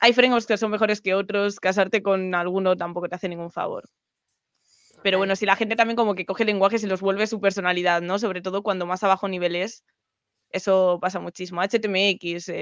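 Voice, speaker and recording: Speaking in a Spanish accent, the voice moves at a fairly quick pace with monotone, flat intonation and big swings in loudness. The sound is dry with no echo, over a quiet background. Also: woman. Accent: Peninsular Spanish. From Spain. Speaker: programming streamer; guest. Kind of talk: casual chat. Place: home room. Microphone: video call.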